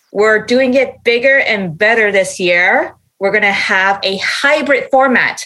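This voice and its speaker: In a Canadian accent, a woman speaks at a fairly slow pace in a normal speaking voice, at a fairly high pitch with ordinary pitch variation. Her loudness stays very even, and she takes hardly any pauses. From Canada. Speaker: parenting website owner. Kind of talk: casual chat.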